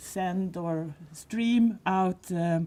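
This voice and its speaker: Her voice carries a dark, mellow tone at a fairly low pitch. The woman speaks with a Swedish accent. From Sweden. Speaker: visually impaired advocate. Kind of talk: panel discussion. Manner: halting.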